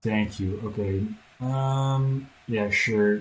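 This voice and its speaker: A man with a Dutch accent speaks at a medium pitch in a somewhat breathy voice. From Netherlands. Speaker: gaming streamer. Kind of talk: live gameplay commentary. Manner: halting.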